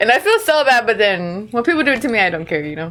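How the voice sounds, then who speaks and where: Against noticeable background noise, a woman talks in an animated tone at a high pitch. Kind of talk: casual chat.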